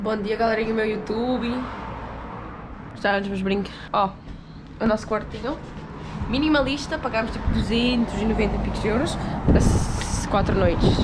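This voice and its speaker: A woman with a fairly high voice speaks at a moderate pace, leaving long, frequent pauses, with audible room echo and noticeable background noise. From Portugal. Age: 20s. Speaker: vlogger. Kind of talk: casual travel vlog. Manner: animated.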